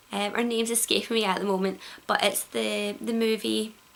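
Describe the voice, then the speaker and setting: With a Glaswegian accent, a woman talks at a moderate pace over noticeable background noise. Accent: Glaswegian Scottish. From Glasgow, Scotland. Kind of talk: casual vlog to camera. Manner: hesitant, many fillers.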